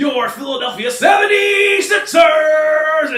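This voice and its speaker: A man shouts in a put-on character voice at an extremely high pitch. He speaks at a fairly slow pace, with a slight echo. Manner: booming, hyped.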